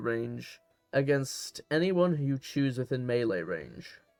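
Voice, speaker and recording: With music behind him, a man speaks at a moderate pace and ordinary pitch variation. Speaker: tabletop game content creator. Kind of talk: scripted narration.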